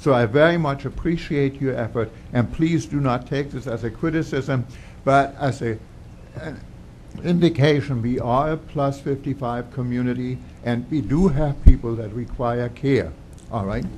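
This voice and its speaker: In a room with audible echo, a man talks at a moderate pace in a somewhat breathy voice. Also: medium pitch for a man, ordinary pitch variation. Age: 70s. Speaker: resident speaking at public comment. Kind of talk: public comment at council meeting. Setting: township council meeting.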